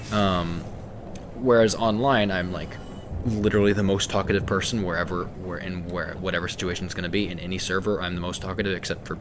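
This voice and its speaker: The room echo is audible as a man speaks at a very deep, low pitch. He keeps a fairly quick pace and fairly even intonation. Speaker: video game streamer. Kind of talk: casual gameplay stream chat. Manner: halting, repeats words.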